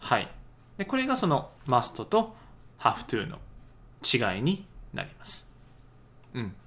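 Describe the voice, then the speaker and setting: The voice has vocal fry and a bright, sharp tone. It moves very slowly with very wide pitch swings. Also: man, fairly high pitch for a man. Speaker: English teacher podcaster. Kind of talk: tutorial. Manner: hesitant with many fillers.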